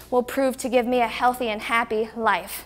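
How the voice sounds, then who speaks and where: A woman speaks at a fairly quick pace in a high, flat monotone. Faint music plays in the background. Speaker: fitness instructor. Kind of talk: workout video outro talk. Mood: warm, grateful, encouraging. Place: studio. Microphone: lapel.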